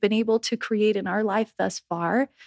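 Using a normal speaking voice, a woman keeps a moderate pace and ordinary pitch variation. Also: dry, close sound with no echo. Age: 30s. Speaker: wellness and life mentor. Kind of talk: casual interview chat.

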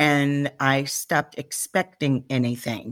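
The speaker has an American accent and talks at a very slow pace with fairly even intonation. The recording is very clean, with a silent background and a dry, close sound with no echo. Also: woman. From Chicago. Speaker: life coach and author. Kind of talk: interview. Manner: direct.

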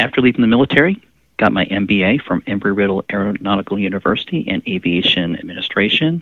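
A man with an American accent talks very fast at a fairly low pitch, varying it in an ordinary way. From Pensacola, Florida. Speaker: nurse and veteran health educator. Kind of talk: interview.

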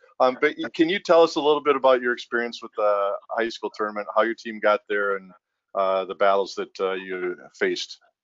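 Here is a plain, everyday voice at a fairly quick pace. Its intonation is lively, with big swings in loudness. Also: man, medium pitch for a man. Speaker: podcast host. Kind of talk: podcast interview. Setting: video call.

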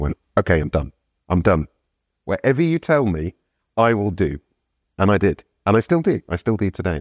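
A man with a British accent speaks with very wide pitch swings and long, frequent pauses, in a dry, close sound with no echo on a very clean recording with a silent background. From UK. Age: 50s. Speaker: sober coach. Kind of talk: casual interview. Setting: in person.

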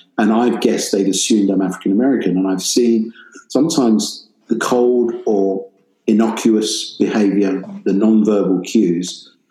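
Keeping his loudness very even, a man with an English accent talks in a fairly low voice at a moderate pace with fairly even intonation. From England. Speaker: professor and music industry professional. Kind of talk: interview conversation.

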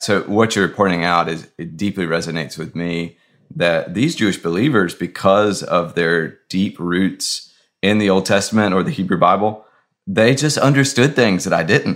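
In a plain, everyday voice, a man speaks with an American accent and lively intonation. His pitch is fairly low and his pace moderate. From US South. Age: 30s. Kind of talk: casual chat.

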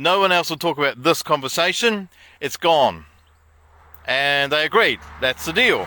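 A man with a New Zealand accent, fairly high in pitch, with a bright, sharp tone and ordinary pitch variation, in a very clean, dry, close recording with no echo and a silent background. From New Zealand, Wairarapa. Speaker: self-help author and vlogger. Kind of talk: casual vlog monologue. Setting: outdoors.

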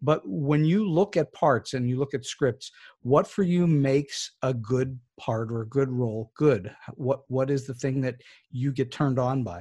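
A dark, mellow, somewhat breathy voice with ordinary pitch variation, a moderate pace and a quiet background. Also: man, medium pitch for a man. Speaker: podcast host. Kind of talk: interview questions.

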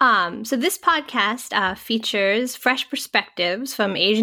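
Lively intonation marks this woman's bright, sharp tone, delivered with an American accent. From US Northeast, suburban Massachusetts. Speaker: podcast co-host, parent. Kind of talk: casual chat. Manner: halting, many fillers.

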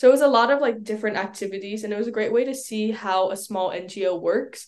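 A woman speaks in a normal speaking voice with an American accent. Her pitch is fairly high, her pace fairly quick, and the background is quiet. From New York City. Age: young. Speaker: college student and YouTuber. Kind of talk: interview.

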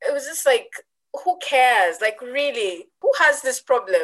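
A woman speaks with a Ugandan accent. Her tone is bright and sharp. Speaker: tech entrepreneur, network founder. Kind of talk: interview. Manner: hesitant with fillers.

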